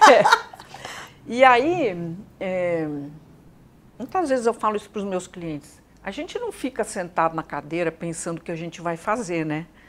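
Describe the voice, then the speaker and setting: A woman's medium-pitched, fairly slow speech with lively intonation, big swings in loudness, long, frequent pauses and noticeable background noise. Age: 70s. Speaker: psychologist and executive consultant. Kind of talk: interview.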